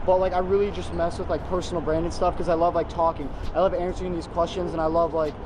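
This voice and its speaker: With an American accent, the speaker goes at a very fast pace in a monotone, flat intonation over noticeable background noise. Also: man, high pitch for a man. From US West Coast, San Diego. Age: 20s. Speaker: online business youtuber. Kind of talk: casual Q&A vlog. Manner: casual, filler-heavy.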